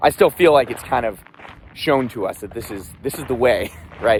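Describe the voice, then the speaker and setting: A man talks at a fairly quick pace. Noticeable background noise is heard behind him. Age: 30s. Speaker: army veteran, runner. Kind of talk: personal vlog, casual talk to camera. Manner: reflective, candid.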